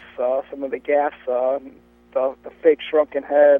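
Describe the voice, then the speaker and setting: Music plays in the background as a man speaks at a moderate pace. His fairly high voice stays monotone and flat. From US Midwest, Cleveland area. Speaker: sideshow banner painter. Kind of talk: casual interview. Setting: phone call from parked car. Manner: loud; halting, many fillers. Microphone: clear line.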